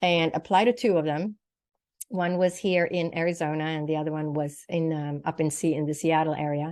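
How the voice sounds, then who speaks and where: A woman's very deep, low voice with a Swedish accent, fairly quick pace and fairly even intonation, against a quiet background. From Sweden. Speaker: naturopathic doctor and psychic medium. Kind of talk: interview testimony.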